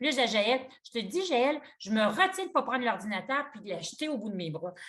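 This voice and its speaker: Talking at a fairly quick pace with a Quebec accent, a woman's fairly high voice makes very wide pitch swings and big swings in loudness. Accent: Québécois French. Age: 60s. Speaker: yoga teacher. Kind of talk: interview conversation. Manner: halting.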